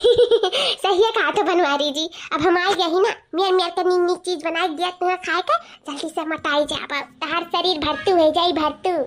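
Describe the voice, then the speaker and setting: In a cartoonish character voice, a woman speaks at an extremely high pitch with ordinary pitch variation. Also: moderate pace. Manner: taunting, coquettish.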